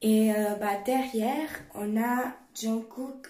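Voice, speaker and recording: A woman speaks with a dark, mellow tone at a fairly high pitch, somewhat breathy. Her pitch varies in an ordinary way, and the room echo is audible. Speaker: YouTuber. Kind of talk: show-and-tell vlog.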